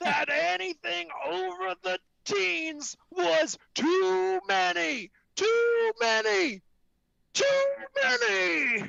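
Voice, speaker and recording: The speaker moves at a very slow pace, using a put-on character voice at a middle pitch. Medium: game stream. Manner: bickering, self-righteous.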